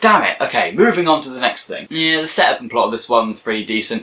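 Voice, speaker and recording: This man rattles along at a very fast pace, and noticeable background noise can be heard. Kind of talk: casual talk to camera, TV episode review.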